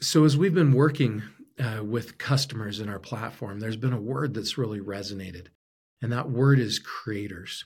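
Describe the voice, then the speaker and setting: In an American accent, a somewhat breathy voice moves at a moderate pace with ordinary pitch variation, on a very clean recording with a silent background. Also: man, medium pitch for a man. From Arizona. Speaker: podcast host and entrepreneur. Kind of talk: solo podcast monologue. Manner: frequent fillers and repetitions.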